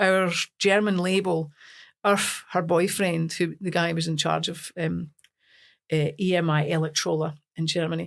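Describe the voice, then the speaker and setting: A fairly low-pitched woman's flat, monotone voice with a Scottish accent and long, frequent pauses. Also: moderate pace, very clean recording, silent background. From Scotland, Lanarkshire. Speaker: singer. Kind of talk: casual chat.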